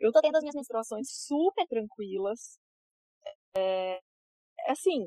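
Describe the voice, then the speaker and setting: A woman's dark, mellow tone at a fairly slow pace, with very wide pitch swings and a dry, close sound with no echo. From interior of São Paulo state, Brazil. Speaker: yoga teacher. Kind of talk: casual interview chat.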